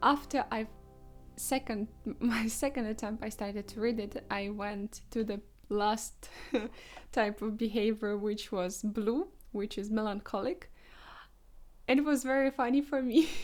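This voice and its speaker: A woman in a non-native accent, fairly high-pitched, speaking at a fairly slow pace with long, frequent pauses. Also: ordinary pitch variation. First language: not English. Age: 20s. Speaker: vlogger. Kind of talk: casual vlog monologue. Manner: halting, with hesitations.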